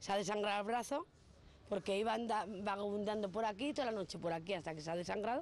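The voice moves at a very fast pace, with a dry sound and no echo. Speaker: local resident. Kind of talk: interview answer. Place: street. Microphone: handheld.

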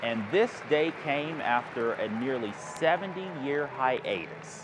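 A man's fairly high voice at a very slow pace, lively intonation, and noticeable background noise. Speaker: TV news anchor. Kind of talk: local TV news anchor read.

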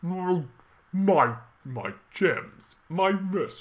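A put-on character voice at a middle pitch.

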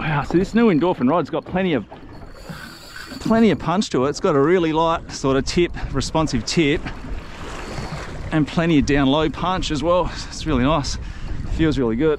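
With faint background noise behind him, a man speaks at a moderate pace and a fairly high pitch, with ordinary pitch variation.

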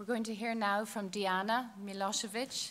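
A woman with an Irish accent. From Ireland. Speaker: panel chair. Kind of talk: formal introductions. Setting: stage with audience. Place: stage. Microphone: podium.

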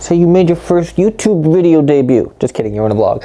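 A man speaks at a moderate pace. Faint music can be heard behind him. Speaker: video editing creator. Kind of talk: casual tutorial vlog chat. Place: home room. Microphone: lapel.

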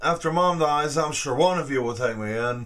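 With ordinary pitch variation, a man is talking. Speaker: interviewee. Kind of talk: interview answer. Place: home room. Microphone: phone near.

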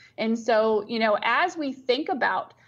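A woman speaks, and her pitch moves with ordinary variation. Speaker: remote guest. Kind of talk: interview answer. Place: office. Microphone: video call.

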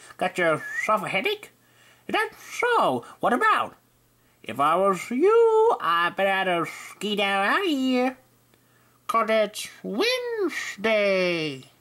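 A cartoonish character voice at a fairly high pitch moves at a very slow pace. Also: female-sounding voice. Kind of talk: cartoon character audition. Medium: voice reel.

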